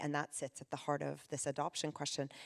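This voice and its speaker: Speaking very fast, a woman uses a very deep, low pitch with vocal fry. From Canada. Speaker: panel chair. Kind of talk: panel discussion.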